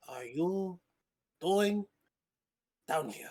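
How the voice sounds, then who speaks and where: This is a put-on character voice. It sits at a middle pitch. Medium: actual play. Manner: abrupt, suspicious, eccentric.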